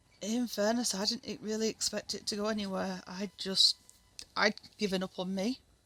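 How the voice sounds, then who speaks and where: A woman with a Northern English accent, medium-pitched, at a moderate pace, monotone and flat, with a bright, sharp tone and a dry, close sound with no echo. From Northern England. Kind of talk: casual talk to camera.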